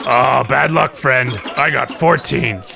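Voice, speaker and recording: In a put-on character voice, a man speaks at a medium pitch and a fairly slow pace while clear music plays in the background. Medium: actual play. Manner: cocky, casual.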